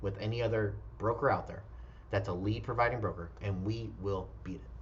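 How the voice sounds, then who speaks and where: In a room with audible echo, a man with a fairly low pitch and vocal fry speaks with ordinary pitch variation. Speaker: real estate broker. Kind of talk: recruiting pitch. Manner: fast.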